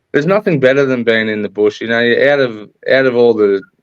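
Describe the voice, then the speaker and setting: Ordinary pitch variation marks a man's speech with an Australian accent. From Australia, rural New South Wales. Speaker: guest in recovery. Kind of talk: interview. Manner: halting.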